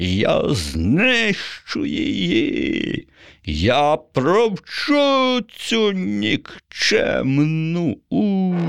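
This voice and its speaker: A man shouting in a high-pitched, put-on character voice at a very slow pace. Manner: furious shouting.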